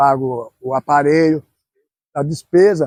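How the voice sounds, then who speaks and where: This man's dark, mellow tone is captured with a dry, close sound and no echo. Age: 70s. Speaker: football club founder. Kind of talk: interview. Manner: halting.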